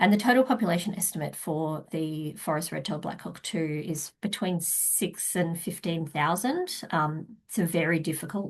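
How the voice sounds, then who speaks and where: A woman with an Australian accent speaks at a moderate pace in a fairly low, somewhat breathy voice with ordinary pitch variation, against a quiet background. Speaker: wildlife researcher. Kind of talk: conference talk. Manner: hesitant, many fillers.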